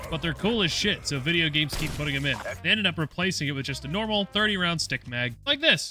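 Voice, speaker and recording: Over background music, a man with an American accent mumbles at a very fast pace with hardly any pauses, his fairly high voice full of lively intonation. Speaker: gaming youtuber. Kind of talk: gameplay commentary. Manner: mumbling.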